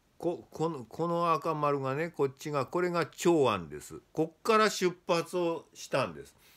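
Against a quiet background, a man speaks fairly slowly. His pitch is fairly high, with ordinary variation. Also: big swings in loudness. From Japan. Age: 60s. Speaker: Buddhism scholar; lecturer on Buddhism. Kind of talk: lecture. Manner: casual, many fillers. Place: home room. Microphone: phone near.

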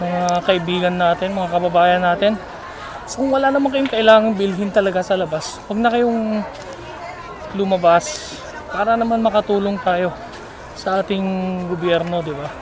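Crowd noise is clearly heard in the background, along with clear background noise. The voice shows ordinary pitch variation. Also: man, high pitch for a man, moderate pace.

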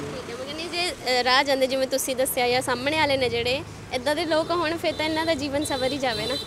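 A woman's high voice with fairly even intonation, dry with no echo, over noticeable background noise. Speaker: news reporter. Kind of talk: street interview reporting. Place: street. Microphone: handheld.

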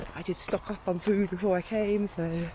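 A woman speaks at a moderate pace. The sound is dry with no echo, but background noise is noticeable. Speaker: van-life vlogger. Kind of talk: casual vlog chat. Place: open country. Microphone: phone near.

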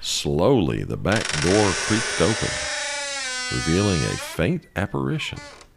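A man's very deep, low voice at a fairly slow pace, with very wide pitch swings. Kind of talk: ghost story narration.

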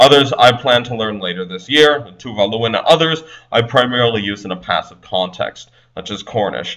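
A man's plain, everyday voice at medium pitch, moving at a fairly quick pace. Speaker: polyglot language blogger. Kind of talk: conference presentation. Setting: recorded presentation video.

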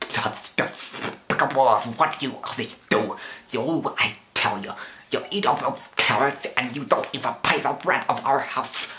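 Using a put-on character voice, a man speaks at a medium pitch and a moderate pace. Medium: voice reel. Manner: angry, indignant.

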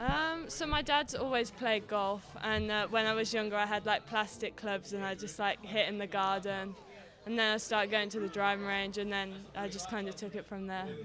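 A woman with an English accent at a moderate pace, dry sound with no echo, and noticeable background noise. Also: ordinary pitch variation. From England. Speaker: student athlete, golfer; guest. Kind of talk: interview. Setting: team meeting room at a university. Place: meeting room. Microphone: studio mic.

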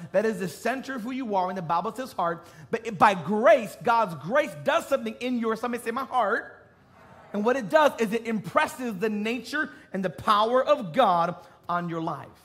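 The intonation of this man's voice is lively. He keeps to a moderate pace. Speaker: preacher. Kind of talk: sermon. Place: stage.

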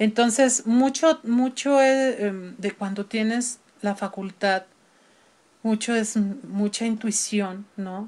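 A woman with a Mexican accent talks at a very slow pace. Her pitch is fairly high. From Mexico City. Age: 50s. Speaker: opera singer; interview guest. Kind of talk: interview; interview answer. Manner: animated. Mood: relaxed, reminiscing. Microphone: video call.

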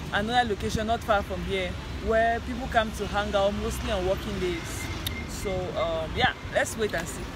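The voice moves at a moderate pace with dry sound and no echo. Noticeable background noise comes through. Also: woman. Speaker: food travel vlogger. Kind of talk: casual vlog chat. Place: street. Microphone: headset.

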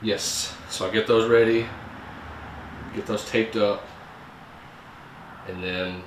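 A man speaks at a fairly slow pace. There is audible room echo and light background noise. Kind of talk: casual vlog chat. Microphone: camera far.

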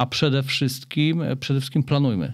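A man at a very fast pace, medium pitch, ordinary pitch variation. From Poland, Opole. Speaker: triathlete and cancer awareness association founder. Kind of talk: interview.

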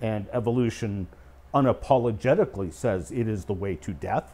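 This man has a Canadian accent and a dark, mellow tone. He speaks at a fairly slow pace with ordinary pitch variation. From Canada, Eastern Ontario. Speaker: creation scientist and speaker. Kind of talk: casual explanatory discussion. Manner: hesitant fillers. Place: studio. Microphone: lapel.

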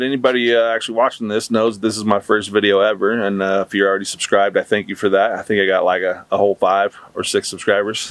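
Speaking at a fairly quick pace with fairly even intonation, a man comes through in a dry sound with no echo. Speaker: vlogger. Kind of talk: casual vlog chat. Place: garden. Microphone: phone near.

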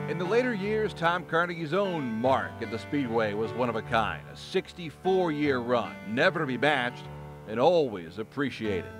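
Music plays behind a man whose medium-pitched voice makes very wide pitch swings. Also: moderate pace. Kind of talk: documentary voiceover narration.

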